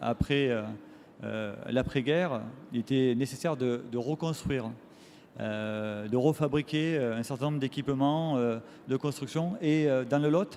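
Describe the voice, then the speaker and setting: A man talks at a fairly slow pace in a medium pitch. His tone is dark and mellow, with ordinary pitch variation. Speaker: factory director. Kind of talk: conference talk. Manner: hesitant, many fillers.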